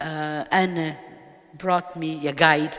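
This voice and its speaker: A woman with a Portuguese accent speaks at a fairly low pitch over noticeable background noise. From Portugal. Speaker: poet. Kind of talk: interview. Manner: halting.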